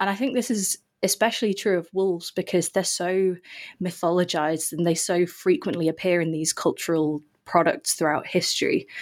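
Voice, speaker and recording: In a very clean recording with a silent background, a woman speaks fairly quickly at a medium pitch in an English accent. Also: ordinary pitch variation. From England. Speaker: author and researcher. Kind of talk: interview. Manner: hesitant with fillers.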